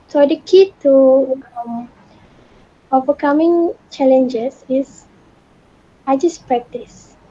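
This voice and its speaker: A high-pitched female voice against noticeable background noise. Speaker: former student. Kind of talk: Q&A session.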